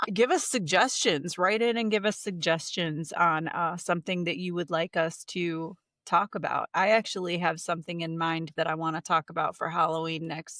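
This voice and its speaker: A woman with an American accent speaks at a moderate pace in a fairly low voice, with ordinary pitch variation, hardly any pauses, an unremarkable speaking voice, and a dry, close sound with no echo. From Ohio. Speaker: podcast co-host. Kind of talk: casual chat.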